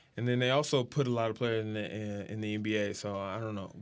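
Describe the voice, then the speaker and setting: A man with an American accent speaks at a fairly quick pace in a plain, everyday voice with fairly low pitch. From Texas, San Antonio. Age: 20s. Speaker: professional high jumper. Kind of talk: casual chat.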